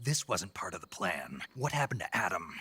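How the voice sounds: A man puts on a character voice with a low pitch and big pitch swings. His tone is bright and sharp, with a husky, rough edge. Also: moderate pace.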